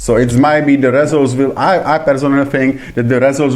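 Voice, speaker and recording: A man speaks with fairly even intonation. Audible room echo fills the recording. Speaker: radio host. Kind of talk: radio debate interview. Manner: halting.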